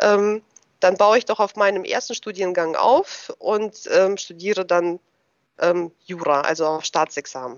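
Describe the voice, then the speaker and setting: This woman speaks at a very slow pace. Her pitch is medium, with ordinary pitch variation. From Germany, moved from Russia at age ten. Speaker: tax advisor. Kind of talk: interview. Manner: hesitant, many filler sounds.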